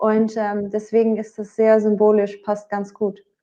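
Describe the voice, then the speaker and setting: A woman talks with a Dutch accent. Her pace is fairly slow. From Netherlands, Bergen op Zoom. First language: Dutch (speaking German). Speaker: singer. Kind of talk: interview. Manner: hesitant, many fillers.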